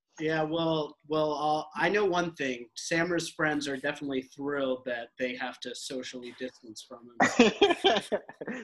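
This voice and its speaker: A man with a normal speaking voice talks at a fairly slow pace and fairly high pitch, with ordinary pitch variation and big swings in loudness. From Middle East, born in US. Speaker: podcast co-host, dad. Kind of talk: casual chat.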